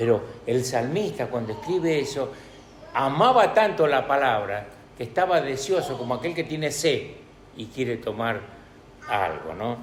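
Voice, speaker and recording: A man speaks at a fairly slow pace with a fairly high pitch, very wide pitch swings and long, frequent pauses. Noticeable background noise and audible room echo surround him. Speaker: preacher. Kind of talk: sermon. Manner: halting, many fillers.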